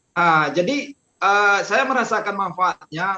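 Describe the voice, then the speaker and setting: A man's voice comes through raised and projected, with a bright, sharp tone. The sound is dry and close, with no echo. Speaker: traffic police officer. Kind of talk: podcast interview. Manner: halting, many fillers.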